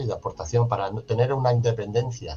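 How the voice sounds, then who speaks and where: A man with a southern Spanish accent, medium pitch and moderate pace, with music in the background. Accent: Andalusian-type southern Spanish. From Ceuta, Spain. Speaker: social educator and foundation director. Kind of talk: interview. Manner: animated.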